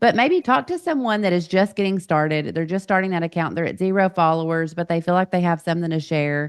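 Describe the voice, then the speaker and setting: Speaking very fast with hardly any pauses, a woman with a Southern accent uses a fairly low pitch. The sound is dry and close, with no echo. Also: ordinary pitch variation. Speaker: podcast host and coach. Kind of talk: podcast interview.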